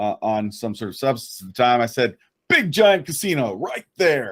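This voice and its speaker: A loud man's voice at medium pitch and moderate pace, with very wide pitch swings, on a very clean recording with a silent background. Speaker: podcast co-host. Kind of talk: casual chat.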